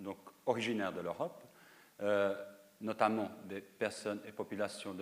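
Moving at a moderate pace, a man speaks with a fairly low pitch. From North Macedonia, schooled in Lausanne. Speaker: sociologist. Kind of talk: lecture. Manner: halting, frequent repetitions.

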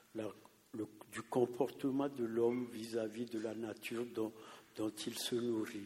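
A man with a medium pitch speaks in a dark, mellow tone. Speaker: audience member. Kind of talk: audience question.

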